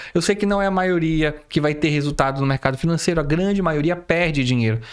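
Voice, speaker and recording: A man's ordinary speaking voice, fairly high-pitched, with ordinary pitch variation, over a quiet background. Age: 30s. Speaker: forex trader and online educator; online educator. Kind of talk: educational monologue; live stream talk to viewers. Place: home room.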